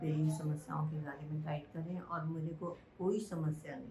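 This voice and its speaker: A woman speaks with a very deep, low pitch and fairly even intonation, with noticeable background noise and audible room echo. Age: 70s. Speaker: devotee sharing experience. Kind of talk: testimony.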